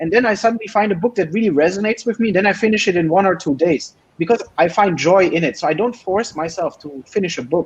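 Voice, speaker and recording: With a German accent, a man talks at a very fast pace with hardly any pauses, using a high pitch and ordinary pitch variation. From Germany. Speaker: PhD student. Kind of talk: interview.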